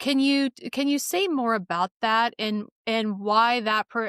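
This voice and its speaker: A woman with an American accent speaks at a fairly slow pace in a normal speaking voice, fairly high in pitch with ordinary pitch variation. The recording is very clean, with a silent background, and the sound is dry and close with no echo. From Wyoming, US. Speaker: podcast host. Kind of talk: interview.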